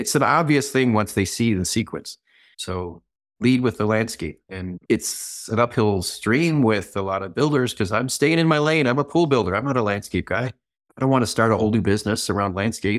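An unremarkable speaking voice from a man with an American accent, medium in pitch, with lively intonation at a moderate pace. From Michigan. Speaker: pool and landscape designer. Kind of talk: casual interview.

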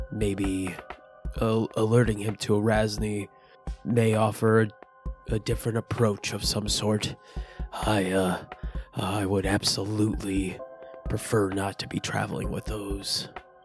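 Over clear background music, a man uses a put-on character voice with fairly low pitch and a fairly slow pace. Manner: measured, formal.

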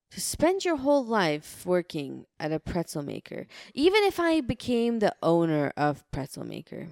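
This woman talks at a moderate pace with hardly any pauses and big swings in loudness. The sound is dry and close, with no echo. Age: 30s. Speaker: podcast co-host. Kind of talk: casual chat.

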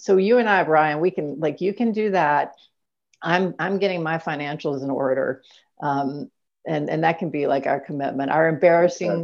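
A woman with a very deep, low pitch keeps a moderate pace and varies her pitch in an ordinary way. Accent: American. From US South, coastal Alabama. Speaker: professor and author. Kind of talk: casual chat.

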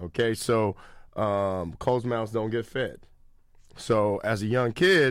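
A man with an American accent at a very slow pace, big swings in loudness, on a very clean recording with a silent background. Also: medium pitch for a man, ordinary pitch variation. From Sacramento, California. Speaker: basketball skills trainer. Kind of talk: casual interview chat.

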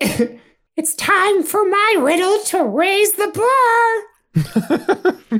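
An extremely high-pitched put-on character voice moves at a very slow pace, broken by long, frequent pauses. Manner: theatrical, playful.

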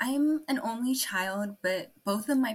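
A woman with a Californian accent talks at a fairly slow pace in a somewhat breathy voice. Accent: general American, Californian. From California, US. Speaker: adoptee, university student. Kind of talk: casual interview chat.

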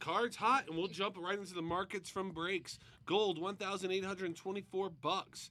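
This man speaks in a raised, projected voice with a bright, sharp tone and a high pitch. His pace is very slow and his intonation fairly even. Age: 40s. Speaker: podcast host and collectibles dealer. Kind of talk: casual chat.

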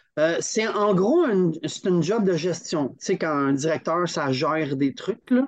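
With a Quebec accent, a man speaks at a high pitch and a fairly slow pace. His intonation is lively, and the background is quiet. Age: 50s. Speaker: climbing federation training director. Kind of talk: casual interview. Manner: animated, laughing often.

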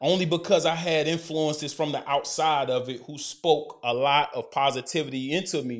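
Fairly high in pitch, a man talks at a moderate pace with hardly any pauses and fairly even intonation. The recording is very clean, with a silent background. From Alabama, Decatur. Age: 30s. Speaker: co-host, former college football player with a doctorate. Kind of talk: casual interview.

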